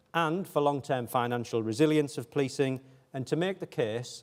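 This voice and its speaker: This man has a northeast England accent and a medium pitch. He talks at a moderate pace. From northeast England (Hartlepool). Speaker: police chief. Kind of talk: keynote speech.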